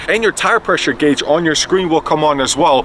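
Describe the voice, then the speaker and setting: An animated man speaks at a fairly high pitch and a fairly quick pace. Noticeable background noise runs under the recording. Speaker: car reviewer. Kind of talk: casual review while driving. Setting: in a car. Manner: loud.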